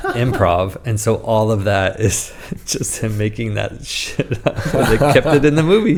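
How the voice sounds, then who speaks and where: A man in an American accent speaks fairly slowly against noticeable background noise. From United States. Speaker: communication coach and former actor. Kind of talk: casual chat.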